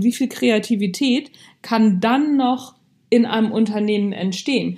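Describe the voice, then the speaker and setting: On a very clean recording with a silent background, a woman speaks at a fairly slow pace in a somewhat breathy, fairly high voice with ordinary pitch variation. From Hamburg, northern Germany. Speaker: podcast host, leadership coach. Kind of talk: motivational monologue. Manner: casual, conversational.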